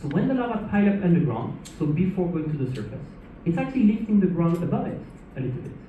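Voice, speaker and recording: The speaker talks at a very fast pace with a French accent. Background noise is noticeable. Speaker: lava show presenter. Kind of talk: educational talk to audience.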